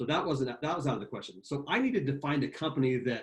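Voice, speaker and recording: A man speaks here. His voice is somewhat breathy. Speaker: sales executive presenting a webinar. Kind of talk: webinar product presentation. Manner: fast when excited.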